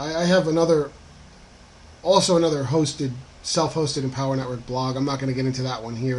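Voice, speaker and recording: Amid noticeable background noise, a man with an American accent speaks at a medium pitch with ordinary pitch variation. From northern New Jersey. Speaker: online marketing affiliate blogger. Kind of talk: screen-capture tutorial monologue. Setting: screen recording. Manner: casual with many fillers (um, uh).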